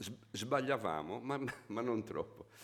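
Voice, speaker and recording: A man speaks at a moderate pace. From Sardinia (Gallura, raised in Sassari). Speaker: musician. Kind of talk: interview.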